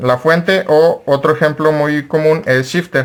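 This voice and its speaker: A man speaks in an ordinary speaking voice. His pace is fairly slow and his intonation fairly even. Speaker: card game content creator. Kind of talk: tutorial.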